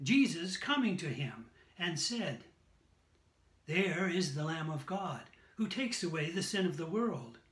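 Audible echo from the room follows a man as he talks. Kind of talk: scripture reading. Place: home room. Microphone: phone near.

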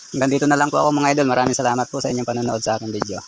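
With noticeable background noise behind him, a man speaks very fast in a medium pitch, varying it in an ordinary way. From Philippines, rural nipa wine-making village. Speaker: vlogger showing local wine making. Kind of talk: casual vlog narration.

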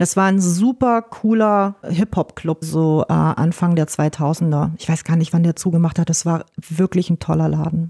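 A woman with an ordinary speaking voice, fairly low in pitch, talks at a fairly slow pace. Her intonation is fairly even, with hardly any pauses. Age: 40s. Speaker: music promoter and PR manager. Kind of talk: casual interview.

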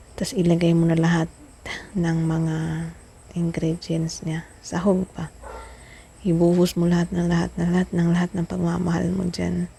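A woman at a fairly low pitch and moderate pace, with flat, monotone intonation, long and frequent pauses, and noticeable background noise. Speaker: vlogger. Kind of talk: cooking vlog. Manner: playful.

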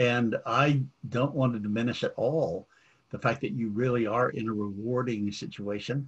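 Somewhat breathy male speech at medium pitch and moderate pace, with ordinary pitch variation. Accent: American. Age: 70s. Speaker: clergyman and forum host. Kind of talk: interview conversation.

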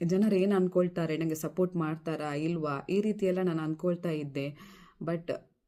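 A woman's dark, mellow tone, fairly low in pitch, with fairly even intonation. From Mangalore, coastal Karnataka, India. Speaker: vlogger. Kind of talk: personal vlog monologue.

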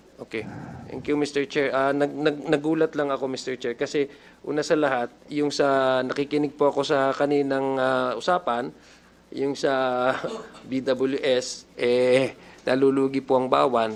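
Speaking at a fairly slow pace, a man keeps a medium pitch in a monotone, flat intonation. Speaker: congressional committee member. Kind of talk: legislative hearing questioning. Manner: formal.

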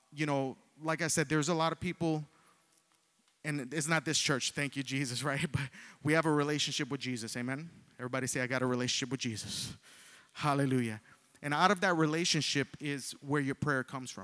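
Against a quiet background, a man with a bright, sharp tone speaks at a fairly quick pace with fairly even intonation. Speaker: preacher. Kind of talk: sermon. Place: church. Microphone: handheld.

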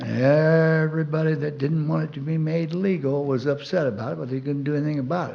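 In a room with audible echo, a man speaks very fast in a fairly high pitch, his tone dark and mellow and his intonation fairly even. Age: 70s. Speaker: public commenter. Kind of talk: public comment. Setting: city council meeting.

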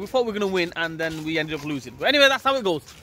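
A raised, projected voice moves through very wide pitch swings. The sound is dry with no echo, with light background noise. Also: man. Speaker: vlogger. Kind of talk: casual vlog chat. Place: street. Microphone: phone near.

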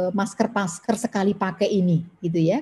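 Moderate pace from a woman. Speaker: government environmental official, webinar speaker; webinar presenter. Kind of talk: webinar presentation. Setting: video call from home. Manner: frequent fillers (ya, uh). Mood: friendly, smiling. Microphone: video call.

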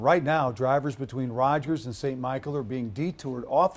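A somewhat breathy male voice over light background noise. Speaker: news anchor. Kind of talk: newsreading. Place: studio.

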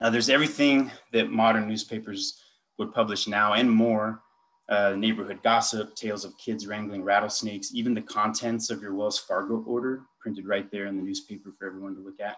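A man talks at a fairly quick pace in an unremarkable speaking voice, fairly low in pitch with fairly even intonation. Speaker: conference presenter. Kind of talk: lecture. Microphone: video call.

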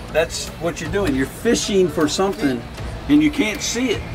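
Fairly slow speech from a man over clear music in the background. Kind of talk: casual banter. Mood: teasing, jokey. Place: boat.

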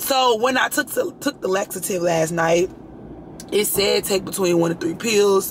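Against noticeable background noise, a woman with a medium pitch sounds animated, her pitch varying in an ordinary way. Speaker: lifestyle vlogger. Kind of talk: casual vlog.

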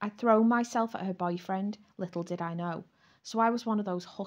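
This is an unforced reading voice. The words are read out as they come.

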